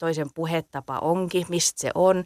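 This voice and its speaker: A woman with a southwestern Finnish accent and a fairly low pitch is heard in a very clean recording with a silent background and a dry, close sound with no echo. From southwest Finland. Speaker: dialect poet. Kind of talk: casual interview.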